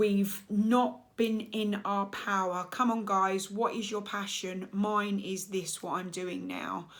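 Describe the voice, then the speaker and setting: Slowly and in a monotone, flat intonation, a woman speaks at a very slow pace. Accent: English. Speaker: coach and therapist. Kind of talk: casual monologue to camera.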